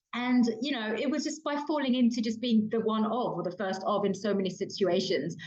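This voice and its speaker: Speaking fairly quickly with hardly any pauses, a woman with a British accent uses a fairly high pitch and ordinary pitch variation, with audible room echo and noticeable background noise. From London, England. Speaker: diversity and inclusion consultant and author. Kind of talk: podcast interview. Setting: kitchen.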